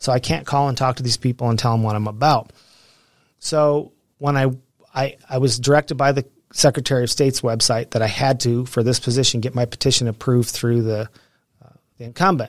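In an ordinary speaking voice, a man at medium pitch keeps his intonation fairly even, the sound dry and close with no echo. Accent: American. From Pueblo, Colorado. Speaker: local political candidate, retired prison worker. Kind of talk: interview.

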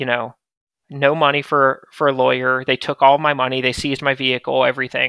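Speaking with an American accent, a man talks at a fairly quick pace and a medium pitch in a monotone, flat intonation. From US South, small-town north Florida. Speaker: startup founder and CEO. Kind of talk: interview, telling life story.

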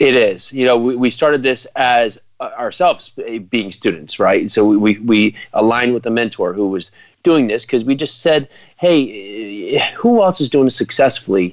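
With an American accent, a man has an unremarkable speaking voice at a medium pitch, speaking at a moderate pace with lively intonation. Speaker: real estate investor. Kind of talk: radio interview.

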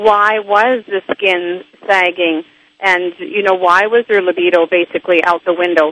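A woman's ordinary speaking voice at medium pitch, fairly slow in pace, with fairly even intonation, very even loudness and a dry, close sound with no echo. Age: 60s. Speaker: author and health expert. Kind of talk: interview.

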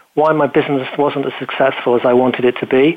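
With a British accent, a man talks at a fairly quick pace. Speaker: business show host and speaker. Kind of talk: casual interview chat.

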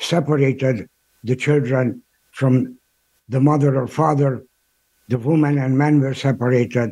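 Fairly high in pitch yet dark and mellow in tone, a man speaks at a fairly slow pace with fairly even intonation. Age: 80s+. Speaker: Holocaust educator and speaker. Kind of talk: interview. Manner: halting.

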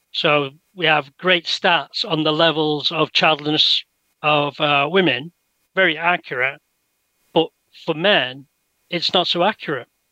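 Fairly high for a man, this voice with an English accent has a bright, sharp tone and very even loudness. He speaks at a fairly slow pace with fairly even intonation and long, frequent pauses. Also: dry, close sound with no echo. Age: 60s. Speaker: researcher. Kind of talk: interview.

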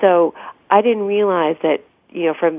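A woman with an American accent speaks at a fairly slow pace, her pitch fairly low and its variation ordinary. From Italy (Piacenza) and United States. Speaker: cookbook author. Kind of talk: radio interview. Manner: halting.

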